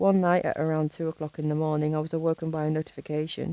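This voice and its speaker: A woman's very deep, low-pitched voice at a very fast pace, dry and close with no echo. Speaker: horror narrator. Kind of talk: horror story narration.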